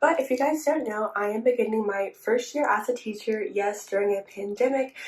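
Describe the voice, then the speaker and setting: Against noticeable background noise, a woman speaks fairly quickly in a fairly high pitch with ordinary pitch variation. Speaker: teacher and vlogger. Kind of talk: vlog. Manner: quiet, whispering.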